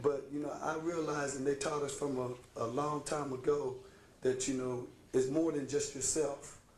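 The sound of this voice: In a room with audible echo, a raspy man speaks at medium pitch and a moderate pace, with little pitch movement.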